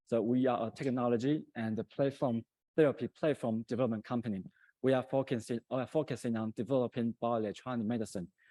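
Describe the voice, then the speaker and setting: A man with a non-native accent at a very fast pace, fairly even intonation, a dry, close sound with no echo, and a very clean recording with a silent background. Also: medium pitch for a man. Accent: foreign accent in English. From Taiwan. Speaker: company founder and CEO. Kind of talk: conference presentation. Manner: hesitant, many fillers.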